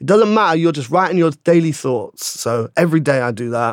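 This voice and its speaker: On a very clean recording with a silent background, a man speaks fairly quickly with a London accent and ordinary pitch variation. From London, Shepherd's Bush. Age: 30s. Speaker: screenwriter and actor. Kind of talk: casual interview. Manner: animated.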